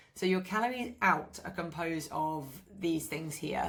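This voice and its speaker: The recording is very clean with a silent background as a woman with an ordinary speaking voice talks at a moderate pace, with fairly low pitch and ordinary pitch variation. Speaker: fitness coach. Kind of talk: tutorial.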